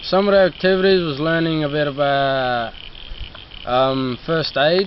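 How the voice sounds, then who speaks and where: Amid noticeable background noise, a man with a fairly high pitch speaks at a fairly slow pace. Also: ordinary pitch variation. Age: young. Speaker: youth program participant. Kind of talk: interview. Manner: halting, many fillers.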